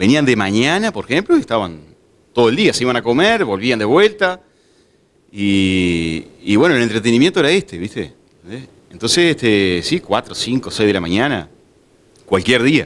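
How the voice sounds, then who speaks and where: Long, frequent pauses break up a man's moderate-paced speech, his medium-pitched voice making very wide pitch swings. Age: 40s. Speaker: bar owner; interviewee. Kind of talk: interview; interview answer. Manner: halting, many fillers. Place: bar. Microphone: handheld.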